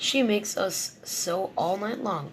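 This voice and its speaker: Someone puts on a raspy character voice at a fairly high pitch. The pace is fairly slow, and clear background noise runs underneath. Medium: read story.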